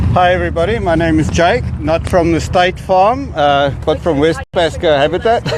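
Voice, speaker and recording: A man in a South African accent at a moderate pace, with very even loudness, hardly any pauses and noticeable background noise. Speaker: nonprofit housing director. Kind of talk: speech at community event. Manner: halting, many fillers.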